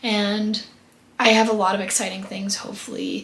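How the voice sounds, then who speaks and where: A woman talks fairly quickly, with audible room echo and noticeable background noise around her voice. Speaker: lifestyle vlogger. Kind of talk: casual vlog monologue.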